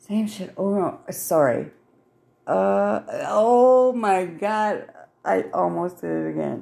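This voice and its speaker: A very slow pace in an American accent, on a very clean recording with a silent background. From Wisconsin. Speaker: solo podcaster. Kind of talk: casual monologue. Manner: halting, many fillers; frequent laughter.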